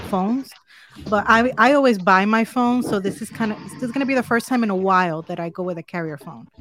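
With a Spanish accent, a woman talks at a very fast pace with ordinary pitch variation. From Dominican Republic. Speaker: tech reviewer. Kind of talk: casual chat. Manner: upbeat.

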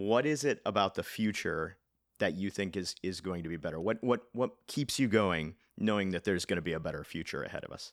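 A man's plain, everyday voice, fairly low in pitch, with an American accent, ordinary pitch variation and a fairly quick pace. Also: very clean recording, silent background. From Nebraska and rural Kansas, then California from age 12. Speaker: podcast host. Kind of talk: interview.

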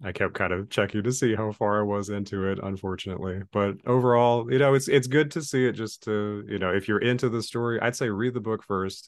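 A man talks in a normal speaking voice, fairly low in pitch with ordinary variation, at a moderate pace. The background is quiet. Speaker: podcast co-host. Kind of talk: casual chat.

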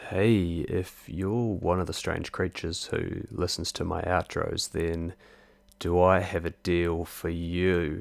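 This man has a very deep, low pitch and a New Zealand accent, speaking at a very slow pace with fairly even intonation. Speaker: podcast host. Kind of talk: casual interview.

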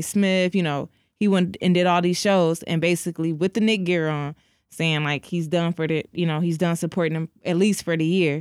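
With a normal speaking voice, a woman talks fairly quickly at a fairly low pitch with fairly even intonation, in a dry, close sound with no echo on a very clean recording with a silent background. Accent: American. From Detroit. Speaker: co-host. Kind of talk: casual chat.

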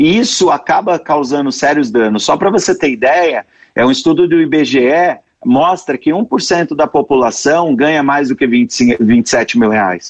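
Fairly high-pitched for a man, this unremarkable speaking voice has lively intonation and very even loudness. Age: 30s. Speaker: sales expert. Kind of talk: interview. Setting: remote streaming call. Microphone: poor streaming audio quality.

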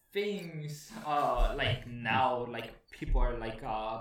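A man talks very slowly, with noticeable noise in the background. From Guatemala. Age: 20s. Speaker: aerospace engineering graduate. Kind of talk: casual interview.

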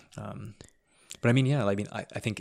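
The speaker has a Canadian accent, fairly even intonation and some vocal fry, moving at a fairly quick pace. The recording is very clean, with a silent background. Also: man. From Ontario, Canada. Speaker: podcast host. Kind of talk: casual chat.

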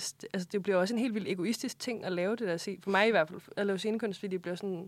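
Very fast speech from a woman, medium in pitch and fairly even in intonation. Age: 20s. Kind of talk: casual interview. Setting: studio.

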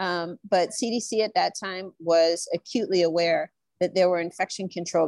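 In a dry, close sound over a quiet background, a woman with an American accent uses a normal speaking voice at a medium pitch with ordinary pitch variation. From Nebraska. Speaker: infection preventionist. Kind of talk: panel discussion.

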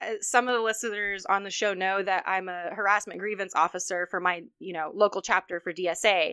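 A normal speaking voice from a woman at medium pitch, fairly even in intonation, with a dry, close sound and no echo. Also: hardly any pauses. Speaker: podcast host. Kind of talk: casual chat. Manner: casual, chatty.

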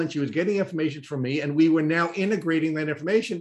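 A man speaks at a very fast pace. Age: 50s. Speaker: podcast host. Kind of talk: interview.

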